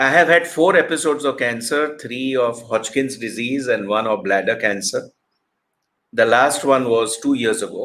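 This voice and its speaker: A man talks in a normal speaking voice at a medium pitch. He keeps a moderate pace with ordinary pitch variation. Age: 60s. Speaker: motivational speaker. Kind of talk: motivational talk.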